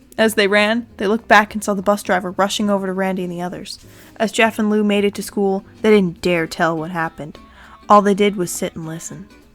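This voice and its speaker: At a fairly quick pace with ordinary pitch variation, the voice plays over music in the background. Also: woman. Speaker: creepypasta narrator. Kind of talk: horror story reading. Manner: naturally loud.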